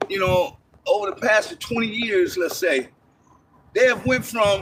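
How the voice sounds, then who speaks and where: A man speaks in a raised, projected voice at a fairly slow pace, his tone animated and his pitch swinging very widely. Noticeable background noise sits behind him. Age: 60s. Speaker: passerby in a park. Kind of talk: casual chat.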